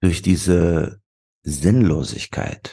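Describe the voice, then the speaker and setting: A man with a dark, mellow tone and vocal fry moves through very wide pitch swings. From Wuppertal, western Germany. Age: 40s. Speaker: author and marketing strategist. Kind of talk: interview.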